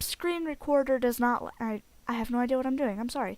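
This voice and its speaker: A woman's voice, high in pitch. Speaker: video game let's play creator. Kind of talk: gameplay commentary. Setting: home recording with headset. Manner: loud.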